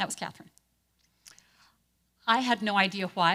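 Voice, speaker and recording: Fairly quick and bright with a sharp tone, a woman speaks at a medium pitch with ordinary pitch variation on a very clean recording with a silent background. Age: 60s. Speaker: pastor. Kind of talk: talk to a church group.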